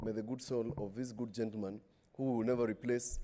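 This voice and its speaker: A man's voice comes through with a dark, mellow tone. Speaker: senator. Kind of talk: parliamentary speech. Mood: earnest condolence tribute. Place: hall. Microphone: podium.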